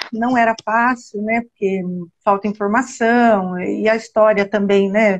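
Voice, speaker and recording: Somewhat breathy, a woman speaks at a fairly slow pace in a fairly high pitch with fairly even intonation. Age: 60s. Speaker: genealogy researcher. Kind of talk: casual interview on live stream.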